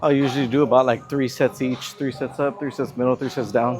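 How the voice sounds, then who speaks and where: Noticeable background noise sits behind a man speaking at a moderate pace, his fairly high voice fairly even in intonation. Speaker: fitness vlogger. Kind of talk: casual vlog narration. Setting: gym. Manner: mumbling; casual, relaxed.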